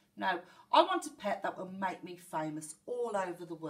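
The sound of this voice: An unforced reading voice is heard throughout.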